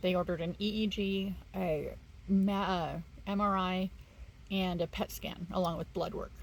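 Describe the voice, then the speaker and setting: Somewhat breathy and medium-pitched, a woman talks at a moderate pace with monotone, flat intonation and long, frequent pauses. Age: 40s. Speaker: vlogger with early onset Alzheimer's. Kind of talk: casual vlog. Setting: bedroom, home video. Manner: halting, many fillers.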